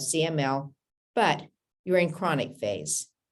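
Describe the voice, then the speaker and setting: A woman talks at a fairly slow pace. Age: 70s. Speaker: cancer patient. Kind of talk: interview.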